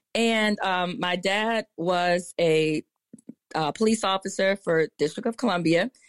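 A woman speaks in an American accent at a medium pitch. Her pitch varies in an ordinary way. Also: dry, close sound with no echo. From Maryland, Prince George's County. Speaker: pediatrician and patient advocate. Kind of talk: interview. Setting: live audio app room.

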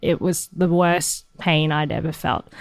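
A woman's fairly low-pitched voice at a very slow pace, in a very clean recording with a silent background. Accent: Australian. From Hong Kong, raised in Australia. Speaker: musician. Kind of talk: interview. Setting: backstage.

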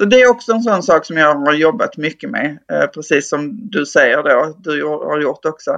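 Over a quiet background, a woman talks at a moderate pace with lively intonation and a very deep, low pitch. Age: 50s. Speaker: Instagram creator and teacher. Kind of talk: casual interview chat.

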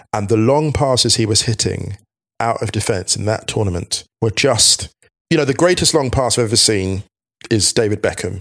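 A man with ordinary pitch variation keeps a moderate pace in an unremarkable speaking voice. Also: medium pitch for a man. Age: 40s. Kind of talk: casual chat.

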